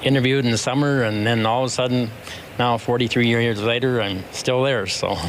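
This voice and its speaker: A man talks at a medium pitch and fairly even intonation, with audible room echo and noticeable background noise in the recording. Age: 70s. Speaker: basketball coach. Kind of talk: interview.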